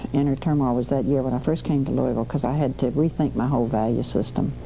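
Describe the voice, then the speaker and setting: Very fast speech comes from a woman with a Southern US accent. Noticeable background noise is present. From US South, Alabama. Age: 60s. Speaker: civil rights activist. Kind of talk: interview testimony.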